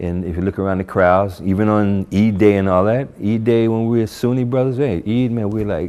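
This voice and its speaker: A man with an American accent speaks at a moderate pace with hardly any pauses. His voice is fairly low in pitch, dark and mellow in tone, and fairly even in intonation. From New Jersey, US. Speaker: convert sharing his story. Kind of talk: testimony. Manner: casual, hesitant with fillers.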